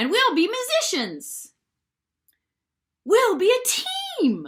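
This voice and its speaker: In a put-on character voice, the speaker talks very slowly at an extremely high pitch with very wide pitch swings. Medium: read story.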